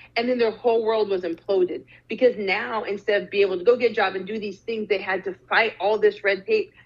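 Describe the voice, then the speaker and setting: A woman at a very fast pace, with fairly high pitch and fairly even intonation. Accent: American. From Arizona. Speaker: social justice speaker and startup founder. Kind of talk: interview.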